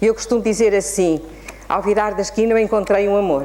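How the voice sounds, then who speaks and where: Through audible room echo and noticeable background noise, a woman speaks. Her pitch is medium and her pace moderate. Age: 70s. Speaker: spiritist lecturer and children's author. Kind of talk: lecture.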